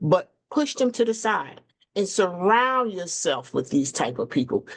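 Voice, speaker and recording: A woman is speaking. Her pitch sits fairly high. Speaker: podcast host. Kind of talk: motivational talk. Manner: animated.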